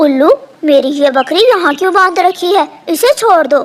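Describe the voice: A cartoonish character voice at an extremely high pitch. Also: moderate pace.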